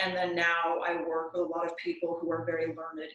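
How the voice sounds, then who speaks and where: Soft-spoken and fairly low in pitch, a woman talks at a moderate pace. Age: 30s. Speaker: lawyer. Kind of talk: interview.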